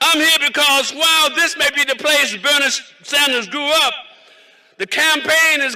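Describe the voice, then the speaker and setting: Over noticeable background noise, a man with an American accent uses a raised, projected voice at an extremely high pitch. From South Carolina. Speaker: pastor and state legislator. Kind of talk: rally speech. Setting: outdoor rally, cold weather.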